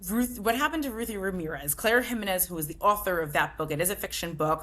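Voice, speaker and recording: A woman with an American accent talks very fast, her intonation lively. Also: medium pitch for a woman. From New Jersey. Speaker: book club founder. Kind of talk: interview conversation.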